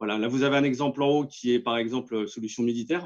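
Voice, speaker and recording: The speech comes at a very fast pace. Its intonation stays fairly even. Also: man. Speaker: company representative pitching 3D printing solutions. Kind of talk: business pitch in webinar. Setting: webinar. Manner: hesitant, many fillers.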